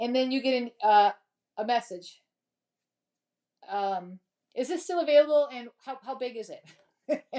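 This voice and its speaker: A woman's high voice carries lively intonation and a dark, mellow tone. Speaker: crafting YouTuber. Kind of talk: live craft tutorial stream. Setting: home craft studio. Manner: fast; casual, chatty.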